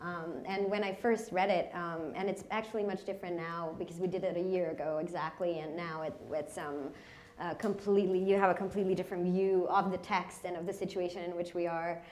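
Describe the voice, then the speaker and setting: With audible room echo, a woman talks at a fairly quick pace and medium pitch in a monotone, flat intonation with hardly any pauses. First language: not English. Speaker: actor. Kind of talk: post-show panel discussion. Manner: halting, many fillers.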